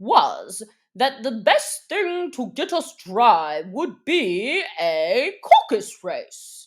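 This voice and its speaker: A woman puts on a character voice, pitched high with very wide pitch swings. She talks at a very slow pace. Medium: read story. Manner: solemn, pompous, fond of long words.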